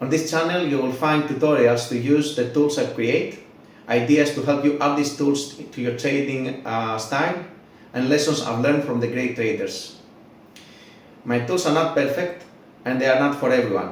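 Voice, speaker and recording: Speaking with a non-native accent, a man talks at a fairly high pitch and a moderate pace with ordinary pitch variation. Noticeable background noise and audible room echo surround him. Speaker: trading tools creator, YouTuber. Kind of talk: channel intro, scripted.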